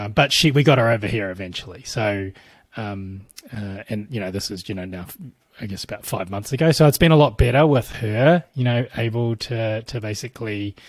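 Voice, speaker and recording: With ordinary pitch variation, a fairly low-pitched man talks at a moderate pace. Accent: New Zealand. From New Zealand. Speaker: tech company CEO. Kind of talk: interview answer.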